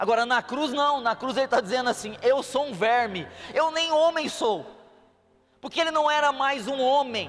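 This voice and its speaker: A man speaks at a moderate pace with an extremely high pitch and ordinary pitch variation. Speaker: preacher. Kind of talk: sermon.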